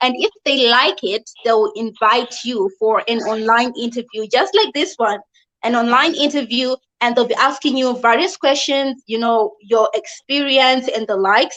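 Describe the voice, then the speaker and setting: In a Zimbabwean accent, a woman speaks at a moderate pace with a high pitch and ordinary pitch variation. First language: not English (Zimbabwean language). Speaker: online English teacher and video host. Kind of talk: live video explainer. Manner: casual, conversational with fillers.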